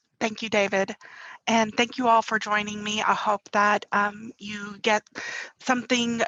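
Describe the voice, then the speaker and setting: With a bright, sharp tone, a woman speaks at a fairly high pitch and a moderate pace. The sound is dry and close, with no echo. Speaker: university marketing and communications staff. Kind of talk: conference presentation. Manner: frequent filler words, some hesitation.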